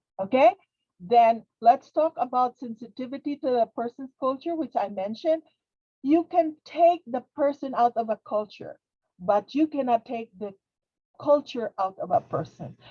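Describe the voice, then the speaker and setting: With a non-native accent, a woman speaks in a high, dark, mellow voice at a moderate pace, her intonation lively and the sound dry and close with no echo. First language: not English. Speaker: webinar presenter, behavioral health interpreter trainer. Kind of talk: webinar lecture. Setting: webinar. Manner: halting, repetitive.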